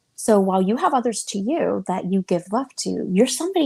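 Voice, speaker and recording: A woman whispering, soft-spoken and somewhat breathy, at a moderate pace with a dry, close sound and no echo. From Cuban. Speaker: interfaith discussion guest. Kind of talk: casual chat. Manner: soft, near whispering.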